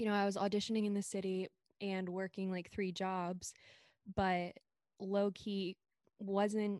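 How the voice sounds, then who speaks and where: Over a silent background in a very clean recording, a woman speaks at a moderate pace. She has a medium pitch and an American accent. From Maryland, US. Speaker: singer, ghostwriter and podcast host. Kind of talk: casual interview chat.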